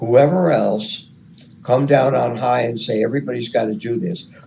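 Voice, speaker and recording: This is a man with a medium pitch. Room echo is audible. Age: 70s. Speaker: radio hobbyist interviewee. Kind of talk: interview.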